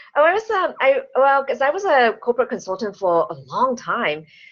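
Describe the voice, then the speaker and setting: Very wide pitch swings in a non-native accent. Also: woman. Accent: foreign accent, self-described. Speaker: business coach and speaker. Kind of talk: interview chat. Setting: online call.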